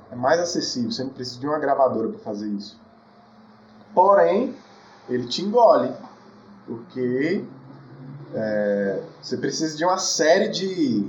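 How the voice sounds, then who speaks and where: In a room with audible echo, a man speaks at a fairly high pitch with very wide pitch swings and long, frequent pauses. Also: moderate pace. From Brazil, Federal District (Brasília outskirts). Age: 20s. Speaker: singer-songwriter. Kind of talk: casual interview.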